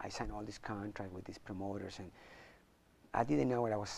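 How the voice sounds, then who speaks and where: A fairly low-pitched male voice with vocal fry, very fast pace and ordinary pitch variation. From Chile. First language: Spanish. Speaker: martial arts champion and motivational speaker. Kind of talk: interview.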